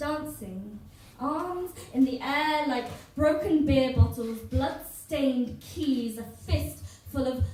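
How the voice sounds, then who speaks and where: Amid noticeable background noise, a woman with a high-pitched voice and ordinary pitch variation speaks at a very slow pace. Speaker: poet. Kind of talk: live spoken word poetry performance. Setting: live venue, audience.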